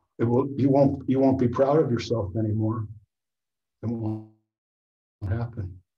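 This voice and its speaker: Audible room echo surrounds a somewhat breathy voice with a dark, mellow tone. The pace is moderate and the intonation fairly even. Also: man. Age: 70s. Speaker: author and photographer. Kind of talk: casual discussion.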